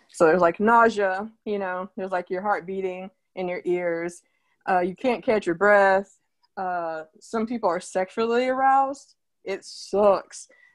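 An unremarkable speaking voice from a woman with an American accent, medium-pitched with ordinary pitch variation, at a fairly slow pace in a quiet background. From Oklahoma, Tulsa. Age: 30s. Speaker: artist. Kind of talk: interview.

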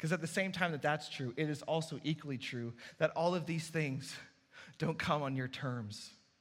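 A man's somewhat breathy, fairly high-pitched voice, animated in tone, at a moderate pace with ordinary pitch variation. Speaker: pastor. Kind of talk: sermon.

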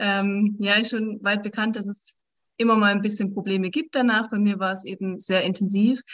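An unremarkable speaking voice from a woman at medium pitch, fairly quick in pace, over a quiet background. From southern Germany, near the Swiss border. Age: 30s. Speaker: menstrual cycle coach. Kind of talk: podcast interview.

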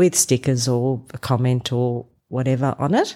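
A woman's very deep, low, dark and mellow voice with an Australian accent, monotone and flat, at a fairly slow pace on a very clean recording with a silent background. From rural Victoria, Australia. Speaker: church member. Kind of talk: interview. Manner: hesitant with fillers.

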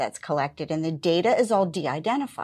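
Her pitch fairly low for a woman with ordinary variation, this speaker has an unremarkable speaking voice. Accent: American. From western Pennsylvania. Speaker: public health program director. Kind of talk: interview.

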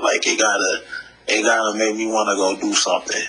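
Noticeable background noise behind a man's medium-paced speech. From Detroit, US Midwest. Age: 30s. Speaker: hip hop artist. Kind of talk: interview. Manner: halting.

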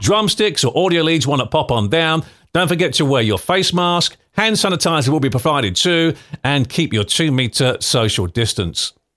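An animated, upbeat man with a bright, sharp tone and some vocal fry speaks at a moderate pace in a fairly high pitch, swinging very widely in pitch while keeping his loudness very even. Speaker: podcast host. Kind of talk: scripted local news podcast, casual chat.

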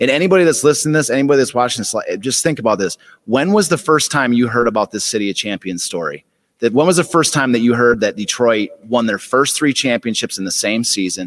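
With lively intonation and medium pitch, a man speaks at a very fast pace. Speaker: author and book seller. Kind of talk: pitchman patter, recalling how he hawked books. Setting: museum gallery. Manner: animated, mock-hawker showman delivery.

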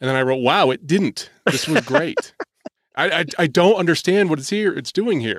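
A man uses a plain, everyday voice at a fairly high pitch, moderate pace and lively intonation. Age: 40s. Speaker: Christmas music podcaster. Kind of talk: casual chat.

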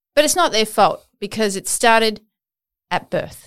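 A woman with an Australian accent, fairly high in pitch, animated in tone and lively in intonation, on a very clean recording with a silent background. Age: 40s. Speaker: podcast host. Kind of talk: interview conversation.

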